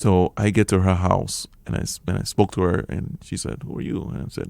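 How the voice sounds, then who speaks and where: On a very clean recording with a silent background, a man with an American accent speaks at a moderate pace in a very deep, low pitch, with vocal fry. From Liberia. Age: 40s. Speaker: refugee sharing life story. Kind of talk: radio interview testimony. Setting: radio studio.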